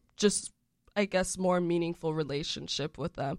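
A woman speaks with a fairly low pitch. The recording is very clean with a silent background and a dry, close sound with no echo. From Central Florida (Orlando area). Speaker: college student. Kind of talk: interview. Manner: animated.

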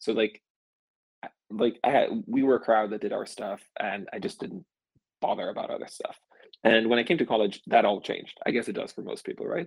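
A man with a Swedish accent speaks at a fairly quick pace. He leaves long, frequent pauses. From Sweden, small rural place. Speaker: venture capital investor. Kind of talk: casual interview.

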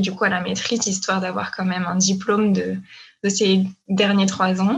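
A woman at medium pitch, somewhat breathy, at a fairly slow pace. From France. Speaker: former doctoral student. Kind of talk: casual interview.

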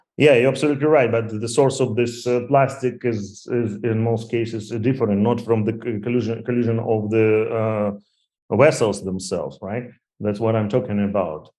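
A dark, mellow tone carries fairly even intonation at a moderate pace. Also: man, medium pitch for a man. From Ukraine. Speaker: tech entrepreneur. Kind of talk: interview. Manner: halting.

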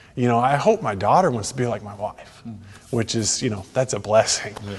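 Speaking fairly quickly with a Texan accent, a man uses a medium pitch and ordinary pitch variation, sounding somewhat breathy with big swings in loudness. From Texas. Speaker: golf association executive. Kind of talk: faith testimony interview.

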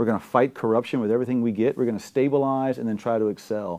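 A man with a dark, mellow tone talks very fast at a medium pitch. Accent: South Louisiana. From Louisiana, Gonzales, Ascension Parish. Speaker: gubernatorial candidate. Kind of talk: political interview. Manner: animated.

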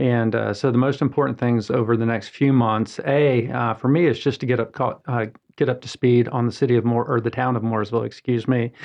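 Man at medium pitch and a fairly quick pace, monotone and flat, very even in loudness, with hardly any pauses. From Atlanta, Georgia. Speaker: tourism bureau executive director. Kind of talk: radio interview. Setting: radio studio.

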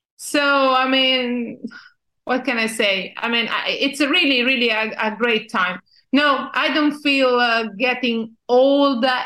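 A woman with an Italian accent speaks very slowly in a raised, projected voice, her high pitch carrying a bright, sharp tone over fairly even intonation. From Italy. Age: 50s. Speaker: journalist and magazine founder. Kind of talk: interview. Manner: halting.

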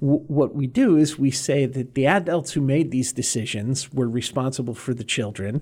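A man with an American accent speaks at a medium pitch and a moderate pace, somewhat breathy, with ordinary pitch variation. He barely pauses, and the recording is very clean with a silent background. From Massachusetts, north of Boston. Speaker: former immigration judge, lawyer. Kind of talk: interview.

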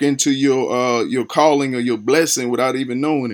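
With a Lowcountry accent, a man speaks at a medium pitch and a moderate pace with fairly even intonation, on a very clean recording with a silent background. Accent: Southern US, Lowcountry. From Charleston, South Carolina. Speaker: podcast host interviewing artists.

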